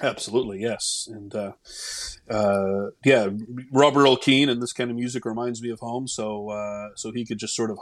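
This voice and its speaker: In an unremarkable speaking voice, a man with an American accent talks at a moderate pace and medium pitch with fairly even intonation. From Oklahoma (Tulsa). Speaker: journalist and TV news producer. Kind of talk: casual chat.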